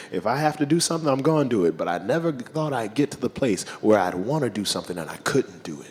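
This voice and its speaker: With noticeable background noise around him, a man speaks fairly quickly and swings his pitch very widely. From Louisiana, West Bank of New Orleans. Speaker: blues musician, band front man. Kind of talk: interview on stage. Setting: festival stage with audience.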